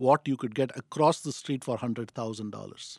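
A man's medium-pitched voice with ordinary pitch variation, in a dry, close sound with no echo against a quiet background. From India, Madras. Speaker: retirement community developer. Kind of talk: interview.

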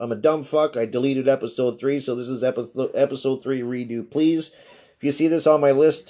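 A man with a medium pitch and a dark, mellow tone speaks at a fairly quick pace with fairly even intonation. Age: 40s. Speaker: podcast host. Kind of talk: casual monologue. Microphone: phone recording.

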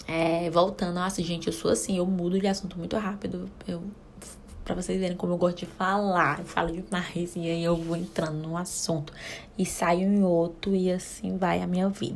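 At a moderate pace, a woman talks in an ordinary speaking voice, fairly low in pitch, with fairly even intonation. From Brazil, Ceará (Caucaia, near Fortaleza). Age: 20s. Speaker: podcast host, mother. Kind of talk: casual solo chat. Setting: home bathroom.

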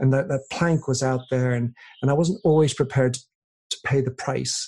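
A man with a dark, mellow tone, somewhat breathy, at a fairly quick pace with fairly even intonation. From England. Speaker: author and podcaster. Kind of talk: interview. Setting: remote call.

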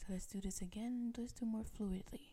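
The voice has a soothing, calm tone and moves at a fairly slow pace. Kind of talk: guided meditation. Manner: slow, soothing, paced with pauses for breathing; calm, gentle, directive.

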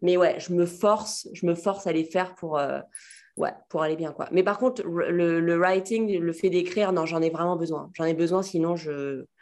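A woman talks at a moderate pace in a normal speaking voice. Her pitch is fairly low and her intonation fairly even. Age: 20s. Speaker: fashion stylist. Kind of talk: casual interview conversation.

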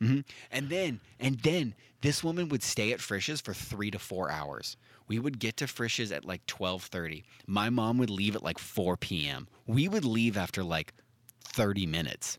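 A man's fairly low voice with very wide pitch swings, on a very clean recording with a silent background. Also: moderate pace. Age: 30s. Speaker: podcast co-host. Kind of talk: casual chat.

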